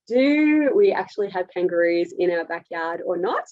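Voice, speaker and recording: A woman with an Australian accent, medium pitch and ordinary pitch variation. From Australia, rural area near Melbourne. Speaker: dietitian presenter. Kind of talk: webinar presentation. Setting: online webinar. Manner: direct, to the point.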